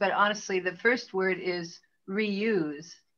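A woman's bright, sharp tone at a very slow pace. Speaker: audience member in film discussion. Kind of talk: casual group discussion. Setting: video call. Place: home room. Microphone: video call.

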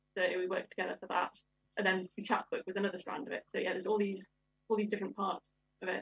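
A woman's somewhat breathy voice at a very fast pace, dry with no echo over a quiet background. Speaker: literary translator. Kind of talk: panel discussion. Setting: video call. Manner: enthusiastic.

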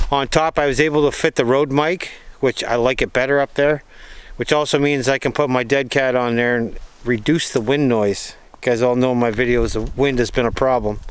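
A man at a fairly quick pace, monotone and flat, with a dry sound and no echo. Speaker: outdoor vlogger. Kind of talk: casual vlog chat. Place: forest. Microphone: phone near.

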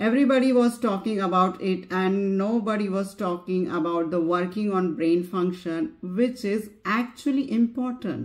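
Over a quiet background, a woman talks at a moderate pace with ordinary pitch variation and hardly any pauses. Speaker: parent vlogger. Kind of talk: casual vlog chat. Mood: earnest, reflective. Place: home room. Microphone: lapel.

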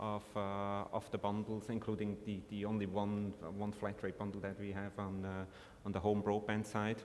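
Light background noise sits behind a man talking at a moderate pace. His intonation is monotone and flat. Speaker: telecom operator executive. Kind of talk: panel discussion. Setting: conference stage with audience. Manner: repeats words, halting. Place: stage. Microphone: podium.

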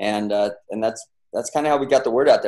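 A man with an American accent speaks at a fairly quick pace, the background quiet. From US West (San Bernardino, California); California. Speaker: entrepreneur, brand founder; guest. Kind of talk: interview, casual storytelling. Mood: relaxed storytelling. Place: home room. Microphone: webcam.

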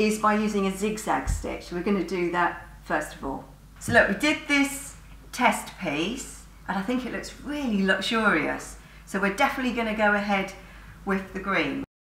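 A woman speaks at a moderate pace. Room echo is audible. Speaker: sewing teacher. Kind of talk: tutorial. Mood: cheerful, chatty. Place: studio. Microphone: camera far.

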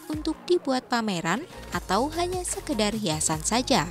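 Music plays underneath this recording. Over it, a woman's pitch jumps very widely up and down. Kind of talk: news feature narration.

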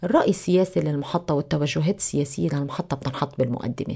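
With a Lebanese accent, a woman speaks at a moderate pace in a dark, mellow, somewhat breathy tone against a quiet background. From Lebanon. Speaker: TV news anchor. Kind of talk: radio interview. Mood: calm, explanatory. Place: studio. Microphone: studio mic.

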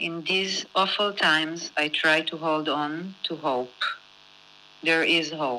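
A woman speaks very slowly in a very deep, low pitch with a bright, sharp tone. Her intonation is fairly even. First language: Hebrew (speaking Japanese). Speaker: film director. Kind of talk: prepared statement and Q&A.

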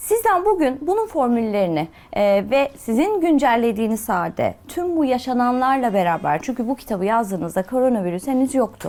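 A woman's high voice with very wide pitch swings, at a fairly quick pace. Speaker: TV talk show host. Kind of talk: TV talk show interview. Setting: TV studio. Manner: polite, formal.

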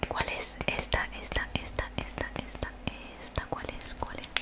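This is a woman's voice. She whispers. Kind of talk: ASMR role-play. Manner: soft close-mic ASMR voice. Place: home room. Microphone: studio mic.

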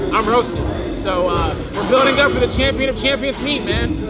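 Loud music plays behind a man as he speaks. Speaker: fitness vlogger. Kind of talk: casual vlog chat. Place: gym. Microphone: phone near.

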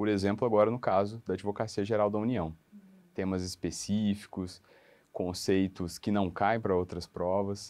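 A man's fairly low-pitched, monotone, flat delivery at a moderate pace. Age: 30s. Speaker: law graduate preparing for public exams; interviewee. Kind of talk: testimonial interview. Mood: friendly, smiling. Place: office. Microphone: lapel.

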